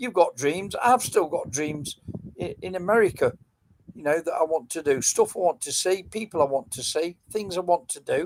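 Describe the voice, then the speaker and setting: With an English accent, a man speaks at a moderate pace and a high pitch. His loudness swings widely, and the sound is dry and close with no echo. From England, Nottingham. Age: 70s. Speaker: metal detecting live streamer. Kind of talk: casual live stream chat. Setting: live stream.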